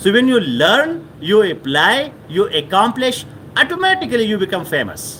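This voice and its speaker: Noticeable background noise surrounds this recording. A man speaks with a Pashto accent and lively intonation. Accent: Pashto-accented South Asian English. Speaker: motivational speaker. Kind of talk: motivational talk. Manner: repetitive with frequent fillers.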